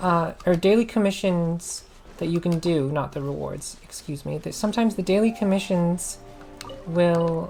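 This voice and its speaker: Music plays in the background. A woman speaks there at a fairly low pitch. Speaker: maid-persona ASMR and gaming content creator. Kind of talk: casual gaming guide talk. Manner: hesitant, rambling, with filler words.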